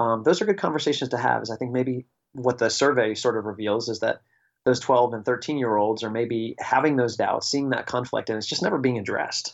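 An unremarkable speaking voice from a man, medium in pitch, fairly quick, with fairly even intonation. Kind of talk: casual chat. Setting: phone call.

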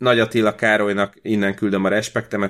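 A man with an unremarkable speaking voice, a fairly low pitch and fairly even intonation. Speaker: podcast co-host. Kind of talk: casual chat. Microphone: new computer recording setup.

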